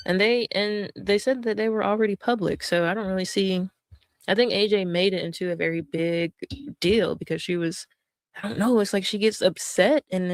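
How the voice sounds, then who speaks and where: A woman with an American accent talks at a fairly quick pace. She has an ordinary speaking voice at a medium pitch, with ordinary pitch variation. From North Carolina. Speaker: streamer. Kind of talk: casual stream commentary.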